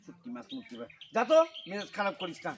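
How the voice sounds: A man does a put-on character voice at a high pitch and fast pace, with big pitch swings. There is a slightly husky edge and vocal fry.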